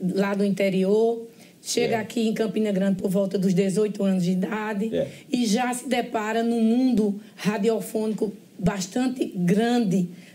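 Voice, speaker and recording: A woman's fairly high-pitched voice has a dark, mellow tone, is somewhat breathy, and carries fairly even intonation. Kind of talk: interview question.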